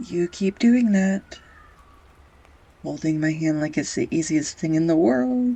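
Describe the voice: A woman puts on a character voice, low-pitched with a dark, mellow tone and a slightly husky edge. She speaks at a slow pace with vocal fry. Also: lively intonation.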